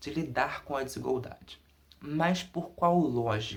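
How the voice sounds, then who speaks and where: This man talks at a fairly slow pace with ordinary pitch variation and a somewhat breathy sound. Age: 20s. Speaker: undergraduate researcher. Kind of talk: academic presentation.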